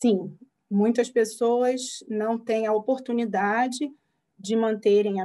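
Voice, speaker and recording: At a very slow pace, a woman speaks in a dark, mellow tone. Her pitch variation is ordinary. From Brazil, Rio de Janeiro. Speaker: psychologist. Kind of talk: interview.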